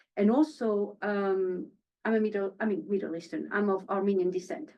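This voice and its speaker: The speaker talks at a fairly quick pace in a French accent. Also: woman. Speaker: actress. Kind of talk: panel interview.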